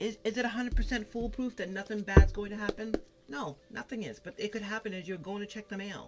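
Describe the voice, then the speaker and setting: Talking at a very fast pace over music in the background, a woman with an American accent keeps a medium pitch and ordinary pitch variation. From Massachusetts, New England. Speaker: tarot card reader. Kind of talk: tarot reading. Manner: animated.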